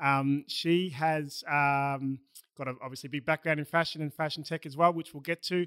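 In an Australian accent, the speaker has a bright, sharp tone, fairly even intonation and a moderate pace, recorded dry and close with no echo and a very clean, silent background. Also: man. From Melbourne, Australia. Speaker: podcast host. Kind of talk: casual interview. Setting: studio.

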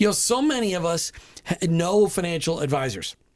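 A man talks at a fairly quick pace in a high voice with lively intonation. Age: 50s. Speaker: radio host. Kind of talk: talk radio show. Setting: studio. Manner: animated.

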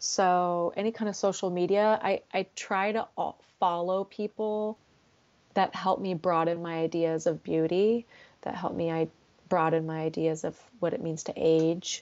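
A woman with an unremarkable speaking voice, fairly low pitch, fairly even intonation and a fairly slow pace. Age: 40s. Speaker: therapist. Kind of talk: casual chat.

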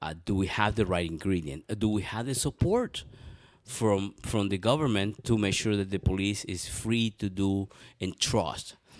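This man talks at a moderate pace with fairly low pitch and ordinary pitch variation. The recording is very clean, with a silent background. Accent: Spanish. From Venezuela. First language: Spanish. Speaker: city council candidate. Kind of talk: interview.

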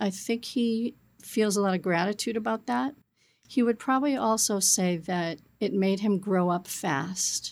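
In a very clean recording with a silent background, a woman with an ordinary speaking voice talks at a fairly slow pace and medium pitch, her intonation lively. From Massachusetts North Shore, Peabody. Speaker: property management executive. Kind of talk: interview.

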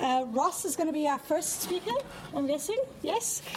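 Noticeable noise runs in the background. Over it, a woman talks fairly quickly. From South Africa. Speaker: panel moderator. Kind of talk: academic panel discussion.

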